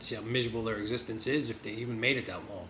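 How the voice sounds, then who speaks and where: In a New Jersey accent, a man talks very fast at a medium pitch with ordinary pitch variation, amid noticeable background noise and audible room echo. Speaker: vlogger. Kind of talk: casual vlog. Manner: rambling, halting with fillers.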